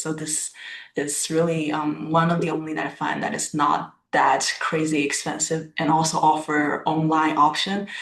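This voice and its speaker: The speaker has a Chinese accent. The pace is moderate. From China. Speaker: student. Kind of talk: class self-introduction. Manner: halting.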